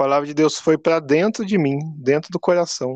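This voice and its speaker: A man with an ordinary speaking voice and fairly high pitch talks at a moderate pace, the sound dry and close with no echo over a quiet background. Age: 30s. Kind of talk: casual faith interview.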